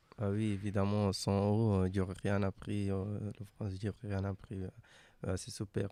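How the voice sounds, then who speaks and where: Monotone, flat delivery from a man with a non-native accent, fairly low in pitch, dark and mellow in tone, in a dry, close sound with no echo. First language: not French (speaking French). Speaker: migrant interviewee. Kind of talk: interview. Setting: radio studio in a hostel. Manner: halting.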